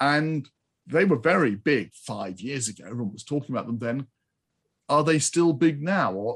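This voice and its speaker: Here is a normal speaking voice at a moderate pace, with lively intonation and big swings in loudness. The background is quiet. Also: man. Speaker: podcast host. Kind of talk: interview conversation.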